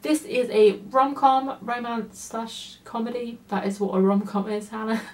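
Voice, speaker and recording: A fairly high-pitched woman at a fairly slow pace, with ordinary pitch variation and noticeable background noise. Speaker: book reviewer. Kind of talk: casual book review vlog.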